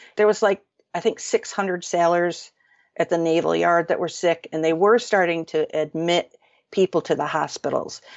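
A woman's fairly low-pitched, plain, everyday voice with an American accent, fairly even intonation and a moderate pace. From upstate New York. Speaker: novelist. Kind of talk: interview.

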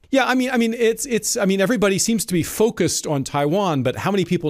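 The man speaks at a very fast pace, his pitch swinging very widely. The recording is very clean and the background silent. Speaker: magazine editor interviewer. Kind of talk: interview questions, formal talk. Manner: halting, hesitant with fillers.

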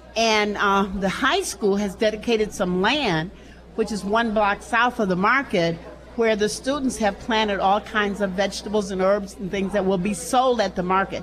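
Noticeable background noise surrounds a woman who speaks at a medium pitch, her intonation fairly even. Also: moderate pace. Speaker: local politician. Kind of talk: interview. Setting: live event with audience.

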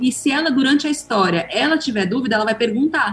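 Noticeable background noise accompanies a woman speaking at a high pitch. Her pace is moderate and her pitch varies in an ordinary way. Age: 30s. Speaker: author and adoptive mother. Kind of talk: casual chat.

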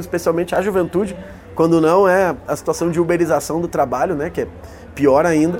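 A man talks at a fairly quick pace in a high pitch, his intonation fairly even. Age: young. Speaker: state legislator. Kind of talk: interview. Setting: agrarian reform fair.

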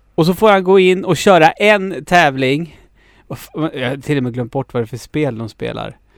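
With a plain, everyday voice, a man talks at a moderate pace, his fairly high pitch carrying lively intonation. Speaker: podcast host. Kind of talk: casual chat.

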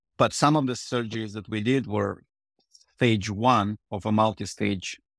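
A man with a Russian accent speaks at a moderate pace in a fairly low pitch with ordinary pitch variation, in a dry, close sound with no echo and a very clean recording with a silent background. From Ukraine, Odessa. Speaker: reconstructive urologist. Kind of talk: interview.

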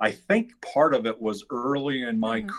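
In an unremarkable speaking voice, a man talks at a fairly slow pace, medium in pitch with lively intonation. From New York (Westchester, Long Island, Queens). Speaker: business founder and chamber of commerce executive. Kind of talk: podcast interview.

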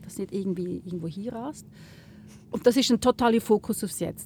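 A woman's dark, mellow voice carries vocal fry and ordinary pitch variation. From Switzerland, Lucerne. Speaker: journalist. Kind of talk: casual interview. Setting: in a gondola.

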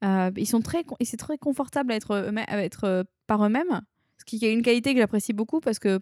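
Very fast and with big swings in loudness, a woman speaks at a fairly high pitch with ordinary pitch variation, in a dry, close sound with no echo on a very clean recording with a silent background. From southern France (Arles). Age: 20s. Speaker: expat manager in Japan. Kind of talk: interview.

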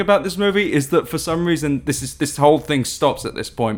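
Speaking at a moderate pace with an English accent, a man uses ordinary pitch variation. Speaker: tech PR person, podcast guest. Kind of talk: casual chat. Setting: studio.

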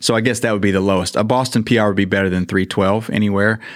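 In a very clean recording with a silent background, a man speaks at a fairly low pitch with fairly even intonation in a plain, everyday voice. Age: 40s. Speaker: marathon runner. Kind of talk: interview. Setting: studio.

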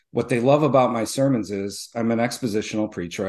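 Against a quiet background, a man speaks at a fairly quick pace in an ordinary speaking voice, his medium pitch varying in an ordinary way. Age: 40s. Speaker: pastor. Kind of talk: casual chat.

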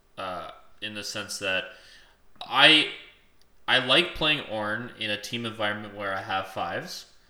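Through audible room echo, a man with a fairly low, bright and sharp voice speaks fairly slowly with ordinary pitch variation, big swings in loudness and long, frequent pauses. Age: 20s. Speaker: podcast co-host. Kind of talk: casual chat.

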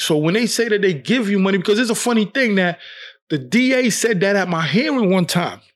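A man's high-pitched voice with a New York accent, fairly quick pace, lively intonation and very even loudness, in a very clean recording with a silent background. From New York, Brooklyn. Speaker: wrongfully convicted exoneree. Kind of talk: interview testimony.

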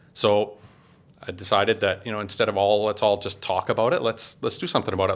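An unremarkable speaking voice is heard here, delivered with fairly even intonation. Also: man. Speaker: food blogger and gas fitter. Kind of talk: casual interview chat.

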